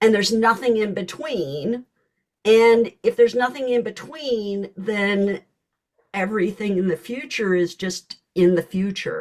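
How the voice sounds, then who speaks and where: A woman's unremarkable speaking voice, fairly high in pitch, at a fairly slow pace with ordinary pitch variation. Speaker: learning specialist host. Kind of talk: casual chat.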